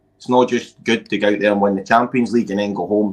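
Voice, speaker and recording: A man speaks with a Scottish accent. His voice sits at a fairly low pitch. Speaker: amateur football coach. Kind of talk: casual chat. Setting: live stream. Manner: loud; animated.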